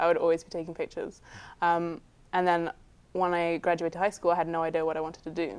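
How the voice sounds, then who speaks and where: A fairly low woman's voice in a southern English accent, monotone and flat, over a quiet background. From southern England, Guildford. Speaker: film student and cinematographer. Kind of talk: interview answers. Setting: studio.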